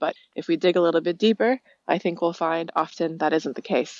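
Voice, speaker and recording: Talking at a very fast pace, the woman has a fairly low pitch and ordinary pitch variation. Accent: American. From United States. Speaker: listener leaving voicemail. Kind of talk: voicemail message. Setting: phone voicemail.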